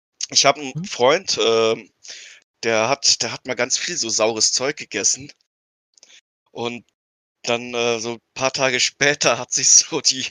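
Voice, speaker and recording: A man with a medium pitch speaks at a fairly slow pace, with long, frequent pauses. His intonation stays fairly even while his loudness swings widely. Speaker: podcast co-host. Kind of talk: casual chat.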